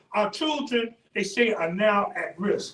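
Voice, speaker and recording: This is a man speaking. His voice is raised and projected. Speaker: panelist at community event. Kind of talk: panel discussion. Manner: animated.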